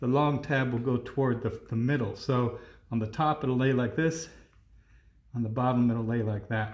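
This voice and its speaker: Audible room echo surrounds a somewhat breathy man who speaks at a moderate pace with fairly even intonation. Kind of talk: tutorial. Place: garage. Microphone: phone near.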